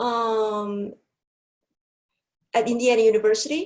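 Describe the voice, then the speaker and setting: A woman is speaking. She has a non-native accent. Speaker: professor of applied linguistics. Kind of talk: lecture. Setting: webinar. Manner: hesitant with fillers.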